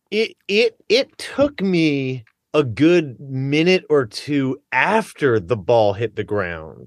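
This man has an American accent and very wide pitch swings. His voice sounds dry and close, with no echo. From Philadelphia area (Abington). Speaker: pretzel bakery owner. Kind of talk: casual chat.

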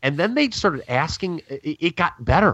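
Loud and at a moderate pace, a man speaks with very wide pitch swings in a dry, close sound with no echo against a quiet background. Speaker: wrestling podcast co-host. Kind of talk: casual chat. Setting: at home.

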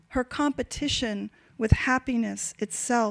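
A woman with a high voice talks at a very slow pace on a very clean recording with a silent background. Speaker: poet. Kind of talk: poetry reading. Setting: stage with audience.

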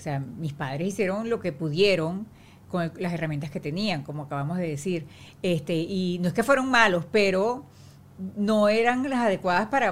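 Lively intonation and a moderate pace in an ordinary speaking voice. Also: woman. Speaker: actress. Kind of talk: casual chat.

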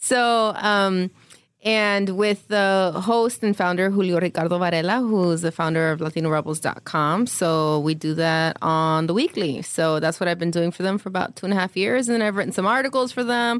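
On a very clean recording with a silent background, a woman talks in an unremarkable speaking voice, her medium pitch moving with ordinary variation at a moderate pace. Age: 30s. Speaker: journalist and podcast co-host. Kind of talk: casual chat.

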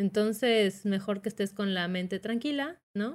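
Her voice sits at a medium pitch, and the woman's intonation varies in an ordinary way. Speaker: podcast co-host. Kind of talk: casual chat. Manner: animated, laughing.

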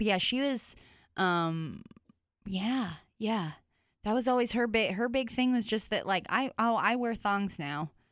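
A woman's animated, fairly slow delivery with long, frequent pauses, very even loudness and ordinary pitch variation, on a very clean recording with a silent background. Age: 20s. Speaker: comedian. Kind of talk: casual chat. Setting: studio.

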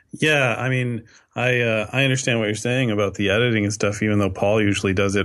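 With a Canadian accent, a man speaks at a moderate pace in a monotone, flat intonation. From Canada. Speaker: podcast co-host. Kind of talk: casual chat.

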